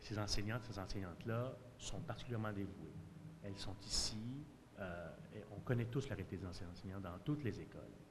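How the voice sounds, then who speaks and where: Over noticeable background noise, a man with a somewhat breathy, fairly low voice talks at a fairly quick pace, broken by long, frequent pauses. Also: ordinary pitch variation. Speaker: parent. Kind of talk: public consultation statement. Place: hall. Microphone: podium.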